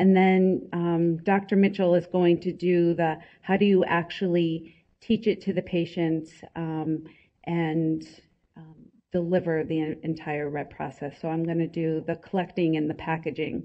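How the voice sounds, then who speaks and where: Soft-spoken and fairly low-pitched, a woman talks in a flat, monotone way. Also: fairly slow pace. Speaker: healthcare presenter. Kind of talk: conference presentation.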